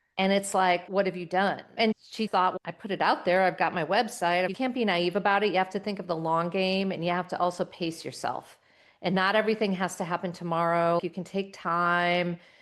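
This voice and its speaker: Against a quiet background, a woman with a plain, everyday voice talks at a fairly quick pace and medium pitch, her intonation fairly even and hardly any pauses in her speech. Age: 50s. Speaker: entrepreneur, former agency CEO. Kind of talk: interview conversation.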